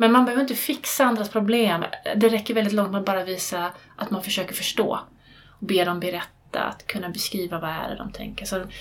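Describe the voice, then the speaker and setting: Delivered at a fairly quick pace with ordinary pitch variation, this is a plain, everyday voice. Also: woman, medium pitch for a woman. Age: 40s. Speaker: therapist and teacher. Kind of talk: interview.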